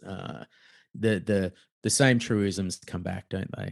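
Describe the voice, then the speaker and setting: A man with an Australian accent speaks at a fairly slow pace in a fairly low pitch, his pitch varying in an ordinary way over a quiet background. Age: middle-aged. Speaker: author and fraud investigator. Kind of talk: casual chat.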